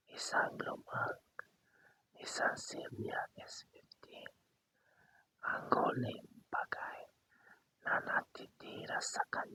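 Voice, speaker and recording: The voice whispers very slowly, broken by long, frequent pauses. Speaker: storyteller. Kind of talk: sleep story / ASMR storytelling. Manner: whispered, soft.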